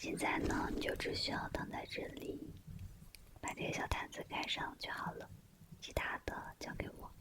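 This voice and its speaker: Whispering in a soothing tone at a moderate pace, a woman leaves long, frequent pauses over noticeable background noise. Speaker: ASMR creator. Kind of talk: ASMR roleplay, speaking to the listener while giving a facial treatment. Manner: soft-spoken, whispery, soothing.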